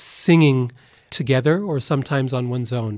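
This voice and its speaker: With an American accent, a man with an ordinary speaking voice talks at a moderate pace, his pitch fairly high and its variation ordinary, in a very clean recording with a silent background. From Boise, Idaho, US. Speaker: professor of religion. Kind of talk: interview.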